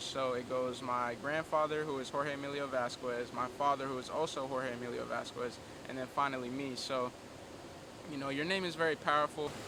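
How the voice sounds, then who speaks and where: A fairly high-pitched man with monotone, flat intonation at a moderate pace, over noticeable background noise. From Honduras, Puerto Cortes. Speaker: documentary interviewee. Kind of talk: interview testimony.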